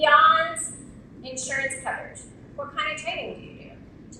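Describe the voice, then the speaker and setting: Both noticeable background noise and audible echo from the room are present. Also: woman. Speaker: insurance industry speaker. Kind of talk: conference keynote speech. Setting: stage with audience. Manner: animated.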